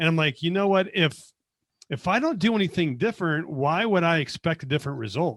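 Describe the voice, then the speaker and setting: Speaking fairly quickly in a high pitch, a man with an American accent uses lively intonation while keeping his loudness very even. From US West, Las Vegas. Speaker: accountant. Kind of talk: podcast interview. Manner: animated storytelling.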